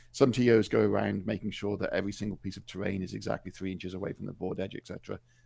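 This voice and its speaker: Speaking with a British accent, a man talks at a very fast pace with hardly any pauses. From Wales. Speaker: tournament referee and judge. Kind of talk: interview.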